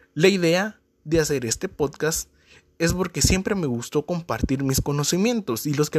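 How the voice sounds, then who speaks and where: A man speaks in a normal speaking voice at a moderate pace with lively intonation, the sound dry and close with no echo. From Guatemala. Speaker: marketer and business coach podcaster. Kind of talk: podcast introduction monologue.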